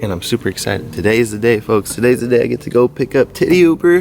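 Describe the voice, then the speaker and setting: With music in the background, a man mumbles in a medium pitch with lively intonation. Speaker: fishing vlogger. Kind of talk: casual vlog. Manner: mumbling.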